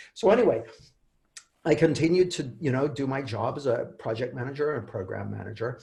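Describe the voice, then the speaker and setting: With a Canadian accent, a man talks at a fairly quick pace and a medium pitch, his intonation lively. His tone is dark and mellow, with vocal fry. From Canada. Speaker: author and coach. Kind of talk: interview. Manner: halting, many repeated words.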